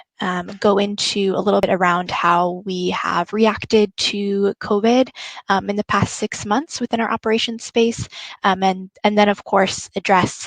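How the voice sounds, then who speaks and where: In a dry, close sound with no echo, a woman with an ordinary speaking voice and an American accent talks at medium pitch and a moderate pace. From United States. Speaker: recruiter. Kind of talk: presentation.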